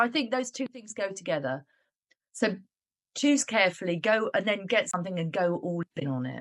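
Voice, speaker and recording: A woman's moderately paced speech in a British accent, full of very wide pitch swings. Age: 60s. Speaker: business owner, coaching client. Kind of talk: interview.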